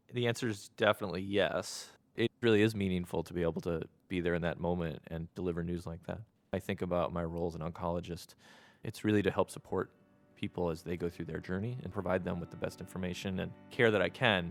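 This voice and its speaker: Delivered at a very fast pace with fairly even intonation, the speech comes through in a very clean recording with a silent background. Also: man, very deep, low pitch for a man. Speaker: oncologist. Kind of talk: interview conversation.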